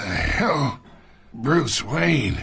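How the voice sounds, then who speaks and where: A man puts on a raspy character voice at medium pitch. His pitch swings very widely. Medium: machinima. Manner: mocking, gravelly.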